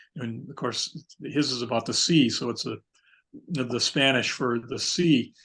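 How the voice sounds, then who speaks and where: Speaking at a fairly slow pace, a man with an American accent shows ordinary pitch variation. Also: medium pitch for a man. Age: 60s. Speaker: poet and author, outdoorsman. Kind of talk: casual interview chat. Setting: video call. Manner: halting, repetitive fillers.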